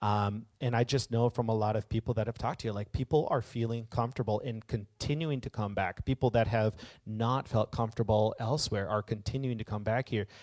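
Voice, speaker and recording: In an unremarkable speaking voice, a man talks at medium pitch and a fairly quick pace with fairly even intonation and hardly any pauses, in a very clean recording with a silent background. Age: 30s. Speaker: guest preacher. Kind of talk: sermon. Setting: church service. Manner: casual, rambling with frequent fillers.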